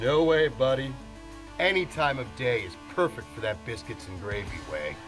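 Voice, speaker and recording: Fairly slow male speech set against background music. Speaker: voice actor. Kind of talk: TV commercial read.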